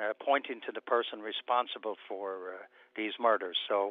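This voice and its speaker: An American accent from a man, monotone and flat in intonation, at a moderate pace. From Ireland, County Laois. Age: 70s. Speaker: police commissioner. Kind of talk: radio interview answer. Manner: hesitant, many filler words.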